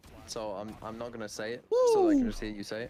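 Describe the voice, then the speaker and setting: A man with a British accent, at a moderate pace. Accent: British-sounding pronunciation of horse. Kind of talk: casual chat. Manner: loud.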